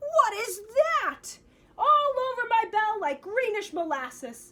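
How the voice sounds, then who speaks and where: A woman's put-on character voice, squeaky and extremely high, with very wide pitch swings at a fairly slow pace. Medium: read story. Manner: fretful, murmuring.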